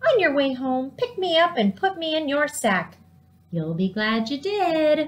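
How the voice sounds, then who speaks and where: A woman uses a put-on character voice with high pitch. She speaks at a moderate pace. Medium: read story. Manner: coaxing.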